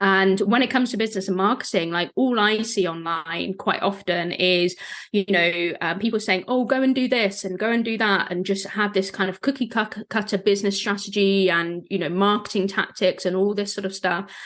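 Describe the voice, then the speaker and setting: A woman with a medium pitch speaks at a moderate pace with hardly any pauses. Her intonation is fairly even. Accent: British. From southwest England, rural. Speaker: business and marketing coach. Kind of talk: podcast interview.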